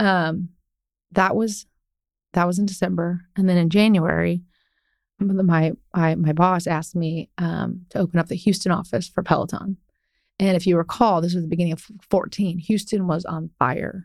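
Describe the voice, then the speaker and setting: A woman's fairly low voice, an unremarkable speaking voice, at a moderate pace with fairly even intonation. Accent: American. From Ohio, US Midwest. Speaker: commercial real estate broker. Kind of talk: interview conversation.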